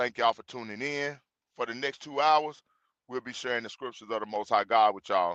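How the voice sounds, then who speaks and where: A man with a Mississippi accent and ordinary pitch variation, dry and close with no echo, over a quiet background. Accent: US Southern (Mississippi). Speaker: religious group host. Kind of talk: livestream introduction. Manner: casual, informal.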